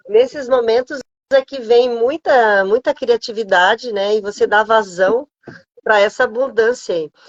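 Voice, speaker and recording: Here is an unremarkable speaking voice. The pitch moves up and down in an ordinary way. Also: woman. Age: 60s. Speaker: family constellation therapist. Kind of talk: casual chat.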